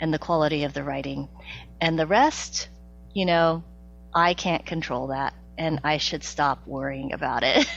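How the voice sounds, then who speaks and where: A woman with a General American accent at a moderate pace, with long, frequent pauses and a quiet background. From Topeka, Kansas. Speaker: author and educator. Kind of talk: interview answer.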